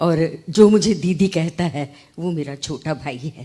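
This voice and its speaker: A woman's fairly low voice, dark and mellow in tone, with ordinary pitch variation. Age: 70s. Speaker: poet. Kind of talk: speech at a literary event.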